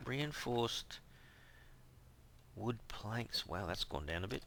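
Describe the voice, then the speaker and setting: A man with a fairly low pitch speaks at a very slow pace, showing vocal fry. His tone is bright and sharp, and his intonation is lively. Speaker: gaming youtuber. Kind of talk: let's play commentary.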